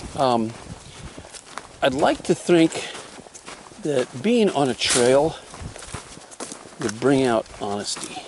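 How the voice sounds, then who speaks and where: The voice moves at a very slow pace with lively intonation and long, frequent pauses, against noticeable background noise. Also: man, fairly high pitch for a man. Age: 60s. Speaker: hiker vlogger. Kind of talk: casual solo vlog narration while hiking. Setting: outdoors on a forest trail. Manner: rambling, halting with fillers.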